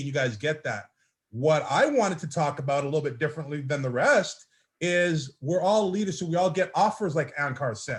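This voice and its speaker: On a very clean recording with a silent background, the speaker moves at a fairly quick pace with an animated tone and lively intonation. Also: man. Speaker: network marketing team leader. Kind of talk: motivational speech on a group call. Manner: loud.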